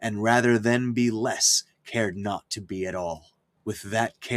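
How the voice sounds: It is a natural reading voice. The background is quiet.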